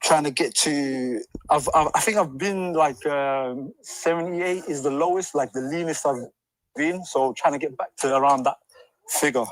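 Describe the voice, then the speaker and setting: Moderate pace and ordinary pitch variation from a man, pitched fairly high. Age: 30s. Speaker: caller. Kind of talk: casual chat. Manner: halting.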